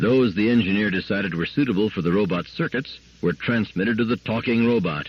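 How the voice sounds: The clip features a natural reading voice.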